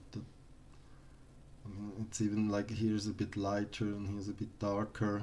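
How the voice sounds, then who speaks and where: At a moderate pace with long, frequent pauses, a man with a non-native accent speaks in a dark, mellow tone, his fairly low pitch held in a monotone, flat intonation. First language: not English. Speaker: artist streamer reviewing artworks. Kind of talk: live stream art critique. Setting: live stream. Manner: halting, many repetitions.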